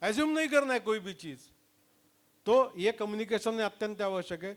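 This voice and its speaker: A man speaks at a high pitch and a moderate pace, with ordinary pitch variation and big swings in loudness. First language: Marathi (speaking Hindi). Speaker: leadership trainer. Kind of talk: lecture. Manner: mixes Hindi and English.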